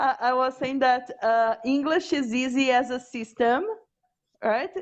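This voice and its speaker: A woman with a Portuguese accent speaks at a fairly slow pace in a high voice, with ordinary pitch variation. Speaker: language teacher. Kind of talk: casual chat.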